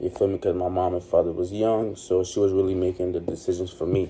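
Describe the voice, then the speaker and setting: This man talks at a fairly quick pace. His voice is very deep and low, with a flat, monotone delivery. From Trinidad and Tobago. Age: 20s. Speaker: vlogger. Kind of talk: personal storytelling monologue. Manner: casual, halting.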